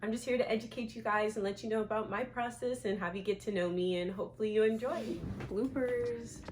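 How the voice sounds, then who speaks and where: With noticeable background noise behind her, a woman speaks at a fairly quick pace with ordinary pitch variation. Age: 20s. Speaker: vlogger. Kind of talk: casual chat. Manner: animated.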